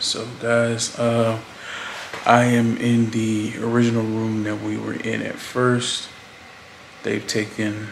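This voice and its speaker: Amid noticeable background noise, a man speaks very slowly in a monotone, flat way, with long, frequent pauses. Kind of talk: casual vlog chat. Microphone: phone near.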